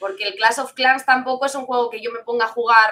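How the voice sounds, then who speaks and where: Her tone bright and sharp, a woman with a high pitch speaks at a moderate pace with fairly even intonation. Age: 20s. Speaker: esports caster and streamer. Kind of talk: interview.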